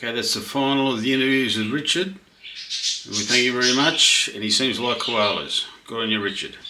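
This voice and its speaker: Audible room echo surrounds a man speaking with an Australian accent at a medium pitch and with ordinary pitch variation. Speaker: interviewer. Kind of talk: interview.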